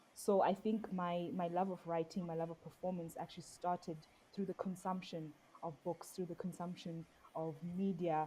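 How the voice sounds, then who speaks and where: Somewhat breathy and dark, mellow in tone, a woman's fairly low voice moves at a moderate pace with monotone, flat intonation. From South Africa, Xhosa. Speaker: poet and performer. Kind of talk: interview.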